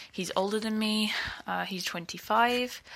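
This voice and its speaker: Her tone bright and sharp, a woman speaks at a moderate pace with ordinary pitch variation on a very clean recording with a silent background. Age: 20s. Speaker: listener asking advice. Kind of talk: recorded voice message. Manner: hesitant, many fillers.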